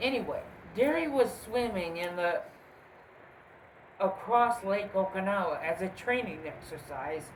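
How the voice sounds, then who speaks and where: A woman's mumbled speech with lively intonation, long, frequent pauses and audible room echo. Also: medium pitch for a woman. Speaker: cryptid video host. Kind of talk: casual storytelling. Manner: mumbling; halting.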